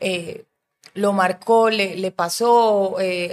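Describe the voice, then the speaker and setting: With a monotone, flat intonation, a woman speaks at medium pitch. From Colombia, Medellín. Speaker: film director. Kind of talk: casual chat.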